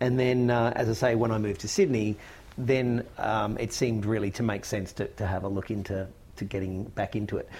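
Very clean audio and a silent backdrop, a man in an Australian accent, his delivery at a moderate speed. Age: 40s. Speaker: actor and writer. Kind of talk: interview chat.

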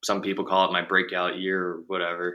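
A man with an American accent and a bright, sharp tone, at a moderate pace, in a very clean recording with a silent background. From US, Baltimore, Maryland. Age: 20s. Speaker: professional baseball player. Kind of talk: interview.

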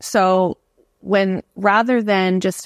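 On a very clean, dry and close recording with no echo and a silent background, a woman speaks at a medium pitch with fairly even intonation. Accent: Canadian. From Canada. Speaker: educator and author. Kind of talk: casual interview conversation.

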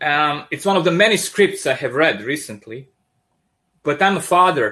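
A man with a strong Serbian accent speaks at a moderate pace in a bright, sharp tone with ordinary pitch variation, on a very clean recording with a silent background. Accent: thick Serbian. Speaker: comic book artist. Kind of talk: casual interview. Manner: animated.

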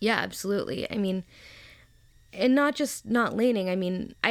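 A woman talks in a plain, everyday voice with an American accent and ordinary pitch variation. Her pace is moderate, and the recording is very clean with a silent background. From US South, Memphis, Tennessee. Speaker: blogger, medical student. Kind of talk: interview.

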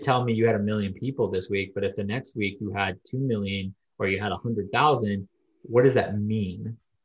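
A man is speaking. His voice is somewhat breathy. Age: 30s. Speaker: online pastor. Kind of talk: casual interview.

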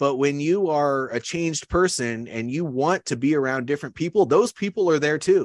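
A man with an American accent and a fairly high pitch, ordinary pitch variation and hardly any pauses, dry and close with no echo over a quiet background. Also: moderate pace. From Iowa, US Midwest. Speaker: leadership coach and army veteran. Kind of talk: interview conversation.

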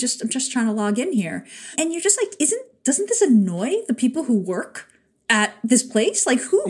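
High in pitch, a woman speaks with an American accent. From New York. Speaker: podcast co-host.

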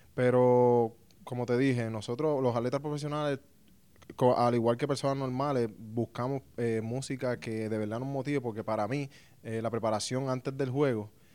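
In a Puerto Rican accent, a man talks at a medium pitch with a dark, mellow tone and fairly even intonation. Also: moderate pace, very clean recording, silent background. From Puerto Rico. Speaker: professional baseball pitcher. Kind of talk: casual interview. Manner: halting, many fillers.

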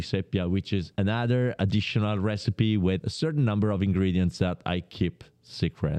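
Against a quiet background, a voice with a dark, mellow tone speaks in an Italian accent. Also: man, dry, close sound with no echo. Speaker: pasta producer. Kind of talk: interview.

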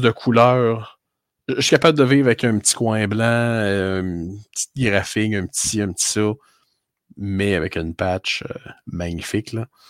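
A man at medium pitch, fairly slow pace and ordinary pitch variation, in a dry, close sound with no echo and a very clean recording with a silent background. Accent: Quebec. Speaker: sports card podcast co-host. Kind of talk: casual chat.

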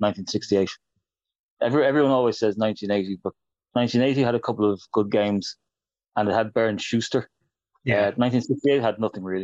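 At a moderate pace with long, frequent pauses, the speaker uses fairly even intonation in an Irish accent, with a dry, close sound and no echo. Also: man, medium pitch for a man. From Ireland. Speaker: football writer and author. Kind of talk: casual interview.

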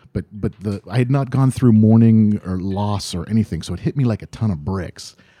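In a very clean recording with a silent background and a dry, close sound with no echo, a dark, mellow tone comes through with an American accent, ordinary pitch variation and a moderate pace. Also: man. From Ohio, US. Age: 40s. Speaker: comedian and improviser. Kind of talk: casual chat.

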